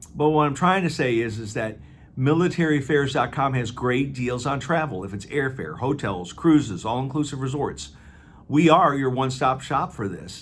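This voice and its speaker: Somewhat breathy, a man talks in an American accent with ordinary pitch variation. Audible room echo surrounds him. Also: medium pitch for a man, moderate pace. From US Midwest, Aurora, Illinois. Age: 60s. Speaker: travel company owner and navy veteran. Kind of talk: promotional monologue. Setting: office. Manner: casual, with many fillers.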